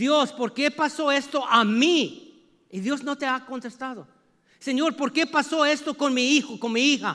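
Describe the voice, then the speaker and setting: Against a quiet background, a man with an extremely high pitch, ordinary pitch variation and a bright, sharp tone talks in a raised, projected voice at a very slow pace. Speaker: preacher. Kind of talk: sermon. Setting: church. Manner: animated; call-and-response. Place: church.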